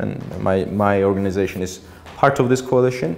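Here a man talks at a moderate pace with a Georgian accent. His pitch is fairly low and his intonation fairly even. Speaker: politician and author. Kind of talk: audience Q&A; lecture. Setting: stage with audience. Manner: halting. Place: hall.

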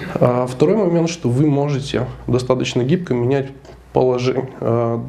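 Dark, mellow, nasal male voice of medium pitch, with vocal fry and fairly even intonation, over faint background noise

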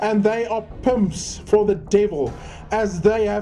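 Fairly slow speech over music in the background. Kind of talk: religious prophecy reading.

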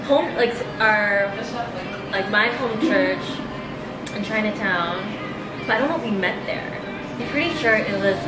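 Long, frequent pauses over clear music in the background. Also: woman, moderate pace. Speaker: co-host or guest. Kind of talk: casual conversation. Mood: relaxed, laughing. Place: cafe.

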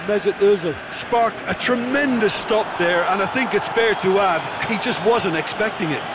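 An excited, high-pitched man at a moderate pace amid noticeable background noise. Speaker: co-commentator, analyst. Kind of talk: live football commentary. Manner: excited, exclamatory on goals; measured, analytical.

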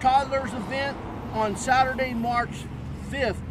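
Amid noticeable background noise, a man speaks at a fairly slow pace in a dry sound with no echo. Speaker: radio host promoting an event. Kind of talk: promotional announcement. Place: street. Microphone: phone near.

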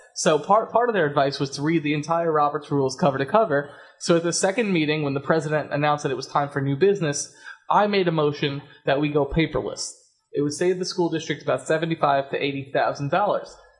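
This man talks at a very fast pace with a fairly high pitch and ordinary pitch variation. The background is quiet. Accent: American. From US Northeast. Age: young. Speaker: school board trustee; radio guest. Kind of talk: radio interview. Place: studio. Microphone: studio mic.

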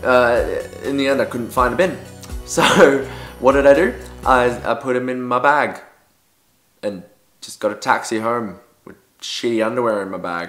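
With music in the background, a man in an Australian accent speaks at a medium pitch and a moderate pace, with big swings in loudness and long, frequent pauses. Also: ordinary pitch variation. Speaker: dancer and performer. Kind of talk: storytime vlog to camera. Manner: casual, humorous. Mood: embarrassed, comic storytelling. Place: home room.

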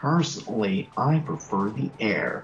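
A man puts on a character voice at a medium pitch, speaking at a fairly slow pace with lively intonation. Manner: affectedly hipster, mocking.

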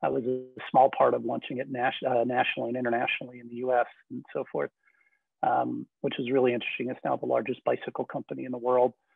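Very fast speech from a man, loudness swinging widely. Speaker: cannabis company executive and entrepreneur. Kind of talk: interview.

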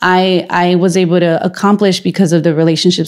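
Over a quiet background, a woman speaks with vocal fry and monotone, flat intonation. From Los Angeles, California. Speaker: school board member and former teacher; former teacher. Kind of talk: casual interview. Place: home room. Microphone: handheld.

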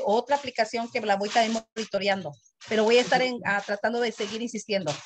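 A woman talks at a very fast pace with a fairly high pitch and fairly even intonation. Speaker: community committee member. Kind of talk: meeting comment. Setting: video call. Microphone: video call.

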